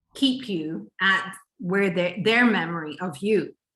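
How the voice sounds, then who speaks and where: A woman talks with lively intonation at a medium pitch. She has a plain, everyday voice. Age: 60s. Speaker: relationship and intimacy coach. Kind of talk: interview conversation.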